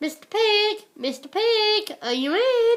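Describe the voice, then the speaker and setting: In a put-on character voice, a woman speaks fairly slowly with an extremely high, squeaky, raised and projected voice. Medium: read story. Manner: confiding, self-justifying.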